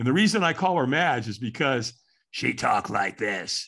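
Against a quiet background, a man uses a raspy put-on character voice at a medium pitch, with very wide pitch swings and a moderate pace.

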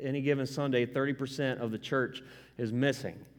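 A man at a medium pitch in a monotone, flat intonation. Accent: Southern US. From US South. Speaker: pastor. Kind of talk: sermon. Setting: church. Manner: casual.

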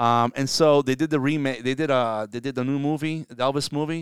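In a New Jersey accent, a man speaks on a very clean recording with a silent background and a dry, close sound with no echo. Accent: New Jersey American. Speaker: podcast co-host discussing local politics. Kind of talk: casual political chat. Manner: fast talker.

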